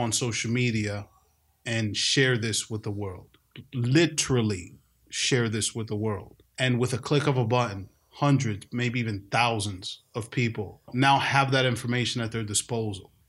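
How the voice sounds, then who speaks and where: A man with an American accent speaks at a medium pitch, somewhat breathy. His intonation is fairly even and his pace fairly slow. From New York City. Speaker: podcast host, dad. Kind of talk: casual podcast discussion. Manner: conversational, joking.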